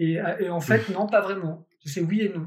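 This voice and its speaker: A man speaks at a moderate pace in a high voice for a man. His pitch varies in an ordinary way. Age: 30s. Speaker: magician. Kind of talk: casual chat. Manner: halting.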